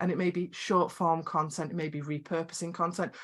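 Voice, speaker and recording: Recorded very cleanly with a silent background, a woman with a Scottish accent speaks at a moderate pace and a fairly low pitch. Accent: quirky Scottish. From Scotland. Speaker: video production coach and business founder. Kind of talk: podcast interview.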